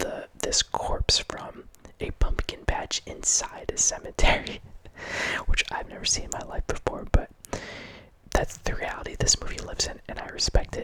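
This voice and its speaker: Whispering at a moderate pace, a man's voice shows big swings in loudness over noticeable background noise. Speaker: horror movie ASMR host. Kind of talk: ASMR movie review ramble. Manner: whispered.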